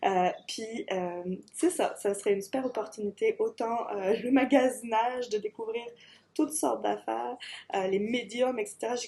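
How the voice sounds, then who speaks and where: With a dark, mellow tone, a woman speaks at a fairly slow pace using lively intonation. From France. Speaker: artist, graphic designer. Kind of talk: video application pitch.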